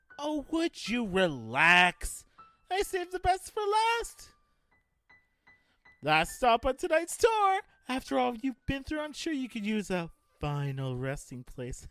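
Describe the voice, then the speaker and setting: In a put-on character voice with a theatrical tone, the speaker uses a fairly high pitch and a fairly slow pace, with long, frequent pauses. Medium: audio drama. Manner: manic, mocking, theatrical.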